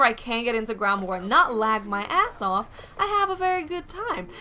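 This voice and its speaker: A woman speaks with an American accent at a moderate pace, her high pitch moving in very wide swings. Her tone is animated, and there is noticeable background noise. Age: 20s. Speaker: gaming YouTuber. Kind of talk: casual vlog talk to camera. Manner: chatty, animated.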